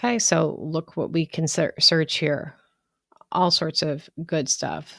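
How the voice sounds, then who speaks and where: A woman's very deep, low voice with vocal fry, very slow pace, and a very clean recording over a silent background. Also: ordinary pitch variation. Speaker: law instructor. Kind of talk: lecture.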